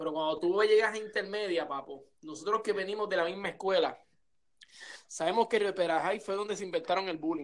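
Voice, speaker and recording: A man with a Puerto Rican accent talks fairly quickly in a high voice with ordinary pitch variation. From Puerto Rico, Coto Laurel. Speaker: podcast host. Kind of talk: casual chat. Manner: animated.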